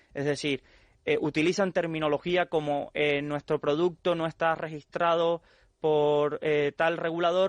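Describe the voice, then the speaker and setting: Over a quiet background, a man speaks at a moderate pace with a fairly high pitch and fairly even intonation in a dry, close sound with no echo. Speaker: financial expert. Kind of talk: radio interview.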